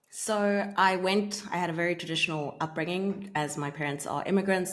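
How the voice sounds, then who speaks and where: This woman has an ordinary speaking voice, fairly low in pitch with ordinary pitch variation, and she talks at a fairly quick pace. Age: 30s. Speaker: marketing agency owner. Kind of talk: interview. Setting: remote call.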